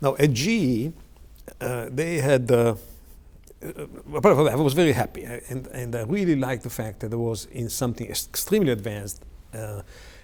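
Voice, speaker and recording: A man with an Italian accent at a medium pitch, fairly quick, with lively intonation and big swings in loudness. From Italy, Milan area. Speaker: technology executive. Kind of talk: oral history interview. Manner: halting, many fillers.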